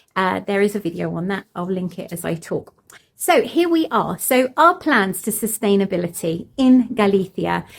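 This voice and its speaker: Lively intonation with vocal fry. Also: woman, medium pitch for a woman, moderate pace. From Cornwall, England (moved around). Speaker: homesteader vlogger. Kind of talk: casual vlog talk to camera. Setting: in a barn on a farm.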